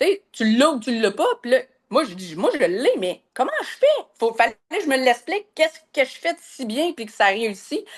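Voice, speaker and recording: At a moderate pace over a quiet background, a woman speaks in a fairly high pitch. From Quebec, North Shore of Montreal. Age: 40s. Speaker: massage therapist and business coach. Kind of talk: podcast interview. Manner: hesitant, many fillers.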